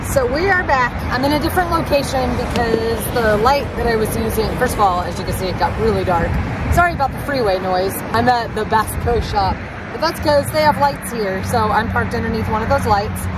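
A woman at a fairly quick pace, dry with no echo, with crowd noise in the background. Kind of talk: casual vlog tutorial. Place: street. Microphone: phone near.

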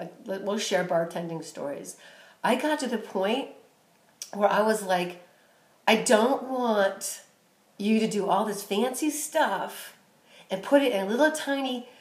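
A woman at a fairly slow pace, with long, frequent pauses and audible room echo. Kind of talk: casual vlog chat. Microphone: phone near.

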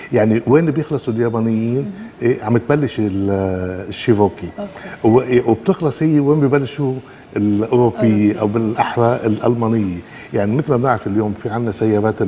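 A moderate pace with light background noise. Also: man, ordinary pitch variation. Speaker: guest. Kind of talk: interview answer. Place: studio. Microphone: lapel.

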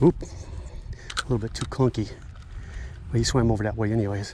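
With a fairly low pitch and a slightly mellow tone, a man speaks at a moderate pace in fairly even intonation.

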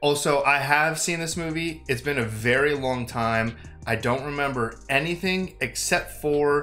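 A man at a fairly slow pace, ordinary pitch variation, faint music in the background. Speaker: reaction channel host. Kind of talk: casual vlog chat.

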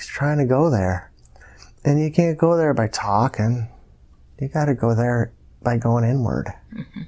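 Against a quiet background, a man with a dark, mellow tone speaks with long, frequent pauses. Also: ordinary pitch variation, fairly slow pace. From US, Buffalo New York area; New York. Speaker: hypnosis client. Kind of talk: hypnosis session narration. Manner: halting. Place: home room.

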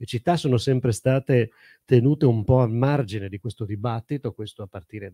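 A man's dark, mellow tone at a fairly quick pace, on a very clean recording with a silent background and a dry, close sound with no echo. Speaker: urban planning professor. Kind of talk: panel discussion. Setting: stage with audience. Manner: halting.

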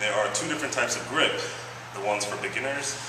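With noticeable background noise and audible room echo, the recording carries a man's speech. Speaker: fitness instructor. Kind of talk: tutorial. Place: gym.

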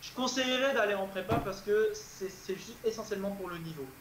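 A man speaks with a high voice and ordinary pitch variation. The room echoes audibly over light background noise. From France. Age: 20s. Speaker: PhD student and tutor; tutor. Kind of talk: interview. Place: home room. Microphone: earbuds.

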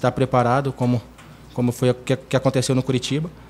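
Fairly quick speech from a man, with light background noise. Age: 20s. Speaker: football goalkeeper. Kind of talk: press conference. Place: meeting room. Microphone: podium.

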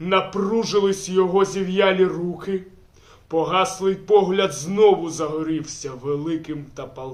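The speaker is reading aloud in a natural voice.

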